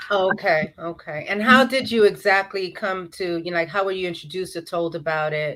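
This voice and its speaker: A woman with an unremarkable speaking voice, medium pitch and an American accent talks at a fairly quick pace with ordinary pitch variation and hardly any pauses. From New York. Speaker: interview host. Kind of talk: interview.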